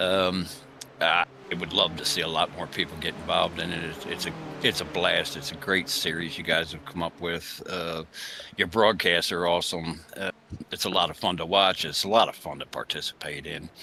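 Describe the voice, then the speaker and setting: Over noticeable background noise, a man speaks at a moderate pace. His voice is very deep and low, with flat, monotone intonation. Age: 60s. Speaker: sim racing driver. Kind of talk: interview. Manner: halting.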